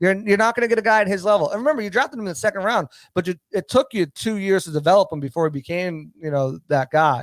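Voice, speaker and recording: Over a very clean recording with a silent background, a man with a high pitch and a Boston accent talks at a very fast pace with hardly any pauses and lively intonation, the sound dry and close with no echo. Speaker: football analyst. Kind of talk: sports talk show discussion. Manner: fast, stammering repetitions.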